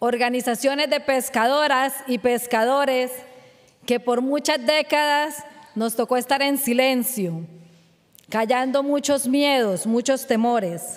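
A woman's high-pitched voice at a very slow pace, with ordinary pitch variation, very even loudness and a quiet background. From Colombia, Barrancabermeja (Magdalena Medio); Colombia. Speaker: fisherwoman and human rights activist. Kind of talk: award acceptance speech. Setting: award ceremony. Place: stage. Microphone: podium.

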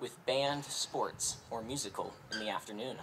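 Here a man speaks at a fairly slow pace. Noticeable background noise can be heard. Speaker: speaker. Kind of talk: graduation speech. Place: stadium. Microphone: podium.

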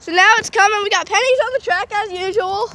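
A woman uses a raised, projected voice at a fairly quick pace, with a dry sound with no echo. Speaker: railfan vlogger. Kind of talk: casual vlog chat. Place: street. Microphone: phone near.

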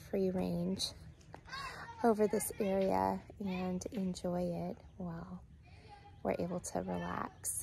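Over light background noise, a woman speaks at a very slow pace with long, frequent pauses, the sound dry with no echo. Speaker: family camping vlogger. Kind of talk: casual vlog chat. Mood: cheerful, relaxed. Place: waterside. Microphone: phone near.

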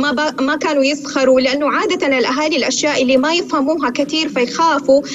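A woman's very fast, high-pitched voice with fairly even intonation over clear background noise

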